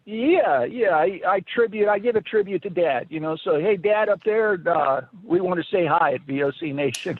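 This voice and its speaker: Noticeable background noise sits behind the voice. The speech moves at a moderate pace with lively intonation. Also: man, high pitch for a man. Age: 60s. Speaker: caller. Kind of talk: casual chat. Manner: halting.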